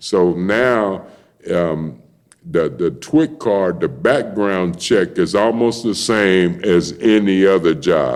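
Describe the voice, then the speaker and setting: His pitch is fairly low and his intonation lively as a man talks at a very slow pace. His loudness stays very even. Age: 60s. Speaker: retired dockworker and former prisoner. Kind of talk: casual chat. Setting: podcast studio. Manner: halting, repetitive.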